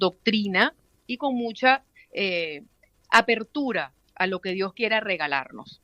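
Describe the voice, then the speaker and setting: Her intonation lively, a woman speaks. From Venezuela. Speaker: radio announcer. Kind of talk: interview answer. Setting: phone line.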